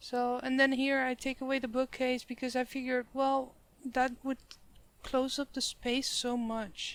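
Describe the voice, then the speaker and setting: A high-pitched woman's voice with a Dutch accent at a moderate pace. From Netherlands. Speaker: gaming YouTuber. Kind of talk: game build commentary. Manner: casual, slightly halting.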